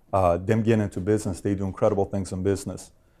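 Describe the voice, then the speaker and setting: A man with an American accent and a dark, mellow tone, on a very clean recording with a silent background. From Iran, then Glendale, California from age 12. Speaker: insurance company founder, interviewer. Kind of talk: interview.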